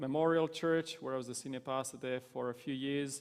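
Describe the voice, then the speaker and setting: A man with a Romanian accent, medium pitch, monotone, flat intonation and a fairly quick pace. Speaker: pastor. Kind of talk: interview.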